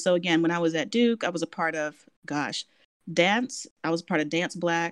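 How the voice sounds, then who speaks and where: A woman talks with an American accent at a moderate pace. Hers is an ordinary speaking voice, fairly low in pitch. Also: dry, close sound with no echo. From Washington, D.C. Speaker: professor. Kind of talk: interview.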